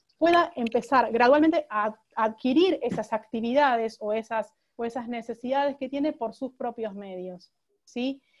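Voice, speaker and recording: Ordinary pitch variation runs through the speech. The delivery is fairly slow. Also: woman, high pitch for a woman. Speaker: lawyer on a panel. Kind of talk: online talk presentation. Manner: halting, many repetitions.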